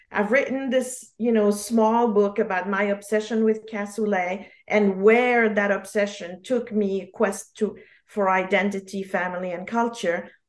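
Speaking at a fairly slow pace in a French accent, a woman holds a medium pitch with monotone, flat intonation against a quiet background. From Geneva, Switzerland. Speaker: memoirist author. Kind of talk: casual interview.

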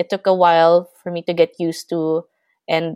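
A woman's fairly low voice in a dry, close sound with no echo. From Philippines. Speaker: language assistant and essayist. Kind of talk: interview, personal storytelling. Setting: remote call across time zones.

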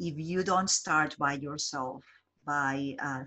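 A woman speaks in a very deep, low voice. Her pitch varies in an ordinary way. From Colombia. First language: Spanish. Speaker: job developer. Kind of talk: interview. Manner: halting.

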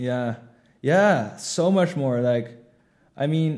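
A man speaks with a Dutch accent. His tone is dark and mellow. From Netherlands. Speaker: startup co-founder. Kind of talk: interview. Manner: halting.

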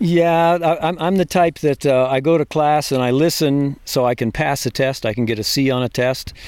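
With an American accent, a man speaks at a moderate pace in a slightly mellow tone, his fairly high pitch held to fairly even intonation.

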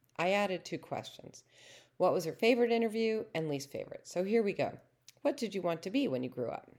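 Speaking very fast, a woman with a medium-pitched voice swings widely in pitch and shows vocal fry. The recording is very clean, with a silent background. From Boston, Massachusetts. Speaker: podcast host and blogger. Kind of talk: scripted narration.

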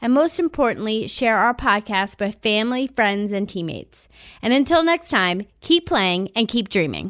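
A woman with a slight Long Island accent at a moderate pace, her pitch swinging very widely, on a very clean recording with a silent background. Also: fairly high pitch for a woman. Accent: Long Island New York, slight. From Long Island, New York. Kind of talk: interview, podcast intro.

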